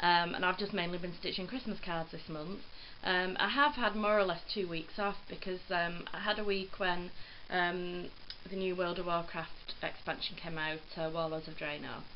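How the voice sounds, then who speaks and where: Heard with audible room echo, a woman with an English accent and fairly low pitch talks at a moderate pace with fairly even intonation. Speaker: cross stitch vlogger. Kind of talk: casual chat. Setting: filmed at home on phone. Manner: rambling, hesitant with ums.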